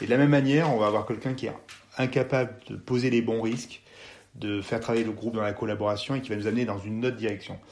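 The man speaks very fast. He keeps his intonation fairly even. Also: medium pitch for a man. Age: 40s. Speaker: mountain guide and former gendarmerie officer. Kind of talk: interview. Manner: hesitant, with frequent repetitions and fillers.

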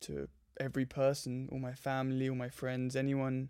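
Speaking with a southern English accent, a man has a dark, mellow tone at medium pitch. He talks at a moderate pace with monotone, flat intonation. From southern England (Surrey, southwest London). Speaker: meditation and yoga practitioner, traveller. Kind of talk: casual interview chat.

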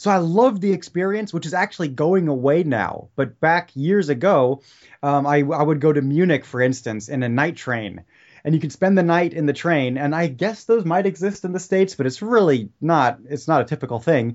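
A man with an unremarkable speaking voice talks at a moderate pace, his fairly high pitch carried by lively intonation. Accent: American. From Germany and California. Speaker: history podcaster. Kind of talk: casual chat.

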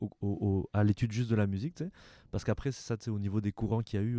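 A man's fairly low, dark, mellow voice at a fairly quick pace, dry and close with no echo, in a very clean recording with a silent background. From France (Paris, later southwest France). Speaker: ethnomusicologist and music professor. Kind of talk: interview conversation.

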